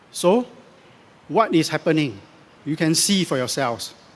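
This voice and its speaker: The man's voice is high in pitch and moves in very wide pitch swings. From Singapore. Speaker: election candidate. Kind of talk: political rally speech.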